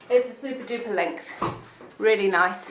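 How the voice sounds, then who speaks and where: A woman speaks at a fairly slow pace with fairly high pitch. Room echo is audible. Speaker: wig salon owner reviewing wigs. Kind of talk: product review video. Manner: casual, with many fillers.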